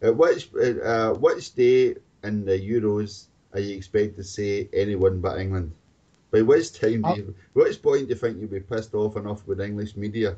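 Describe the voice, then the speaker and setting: With a Scottish accent, a man talks in a somewhat breathy voice at a moderate pace with ordinary pitch variation. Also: fairly low pitch for a man. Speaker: football podcast host. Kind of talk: casual chat.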